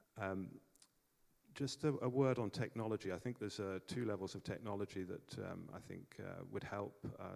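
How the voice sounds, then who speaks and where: A man with an English accent delivers his words fairly quickly. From England. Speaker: energy project developer, panelist. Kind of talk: conference panel talk. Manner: hesitant, many fillers.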